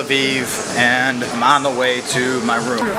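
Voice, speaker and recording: An American accent, with audible room echo and music in the background. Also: man. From United States. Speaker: travel vlogger. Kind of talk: travel vlog narration. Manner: casual, swearing-laden.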